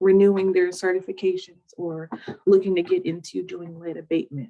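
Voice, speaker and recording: Her tone is dark and mellow. A woman speaks at a medium pitch with fairly even intonation. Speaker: city housing program staff presenter. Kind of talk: webinar presentation. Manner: fast.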